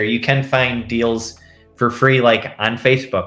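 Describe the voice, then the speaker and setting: Faint music plays in the background with audible room echo. A man speaks at a fairly slow pace. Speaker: interview guest. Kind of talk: interview answer. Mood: relaxed, friendly. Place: home room. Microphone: video call.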